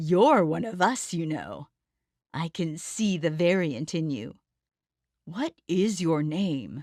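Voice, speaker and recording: A put-on character voice rumbles with a smug, sinister tone at a fairly slow pace. The recording is very clean, with a silent background. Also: woman, fairly low pitch for a woman. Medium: read story.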